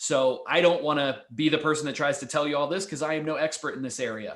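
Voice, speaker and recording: Talking at a very fast pace, a man with an American accent uses a fairly high pitch and fairly even intonation. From United States. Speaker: webinar host. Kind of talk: webinar discussion.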